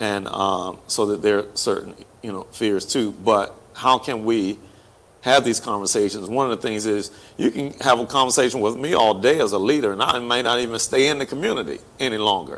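This man has an American accent and talks at a fairly quick pace. His pitch variation is ordinary. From Hampton, Virginia; Virginia. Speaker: pastor and talk show host; pastor, talk show host. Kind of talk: casual chat. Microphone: lapel.

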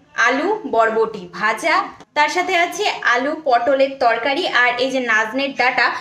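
A woman's high-pitched voice is heard with audible room echo. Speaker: home vlogger. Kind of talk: casual vlog chat. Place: kitchen. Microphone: phone near.

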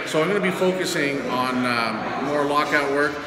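Loud background noise sits behind a man's voice. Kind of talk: casual vlog chat. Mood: frustrated but determined. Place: gym.

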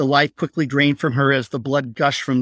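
A natural reading voice carries the clip. It reads the text aloud.

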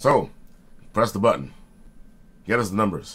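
A man's very deep, low voice comes through with vocal fry. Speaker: writer and video host; video host. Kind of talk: casual talk to camera. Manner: animated. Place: home room. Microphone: webcam.

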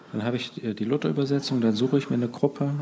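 A man with a dark, mellow tone and fairly even intonation. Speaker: podcast host interviewer. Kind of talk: interview conversation.

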